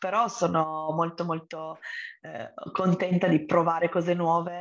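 A woman speaks fairly slowly with fairly even intonation, the background quiet. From Turin, northern Italy. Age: 30s. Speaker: entrepreneur. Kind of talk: podcast interview.

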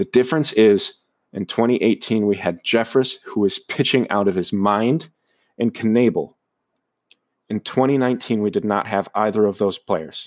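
In a very clean recording with a silent background, a man with an American accent uses a plain, everyday voice at medium pitch, keeping a moderate pace and ordinary pitch variation. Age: 20s. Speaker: podcast host, sports fan. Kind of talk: solo podcast monologue. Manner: casual with frequent fillers.

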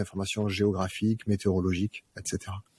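A somewhat breathy man's voice at a fairly low pitch. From southern France, Arles (Provence). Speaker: company founder. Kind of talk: interview.

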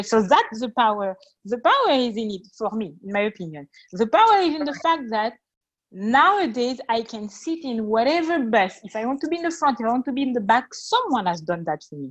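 A woman with a French accent speaks at a fairly quick pace with a fairly high pitch. Her pitch swings very widely and her loudness shifts in big swings. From France. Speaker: interview guest. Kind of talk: interview. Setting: call.

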